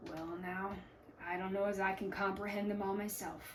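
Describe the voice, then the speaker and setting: Over clear background noise, a woman puts on a raspy character voice at a medium pitch, delivered in a flat monotone. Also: moderate pace. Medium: read story. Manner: hesitant, halting, few words.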